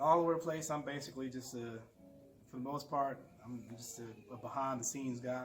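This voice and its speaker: A man with a Southern US accent and medium pitch talks at a fairly quick pace with fairly even intonation and big swings in loudness. Music plays in the background, and the room echo is audible. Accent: southern twang. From Florida, US South. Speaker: urban planner and local historian. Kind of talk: interview. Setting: bookstore.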